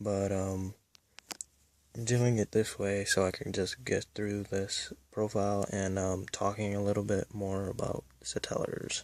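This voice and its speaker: The pace is fairly slow and the volume quiet. The intonation stays flat and monotone. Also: man, fairly low pitch for a man. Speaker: card game deck reviewer. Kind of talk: deck profile tutorial.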